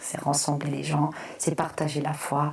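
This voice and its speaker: Her pitch is very deep and low for a woman. Noticeable background noise runs underneath. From Congo, then Flanders, Belgium. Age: 30s. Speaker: content creator. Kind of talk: personal testimony. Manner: halting, many fillers.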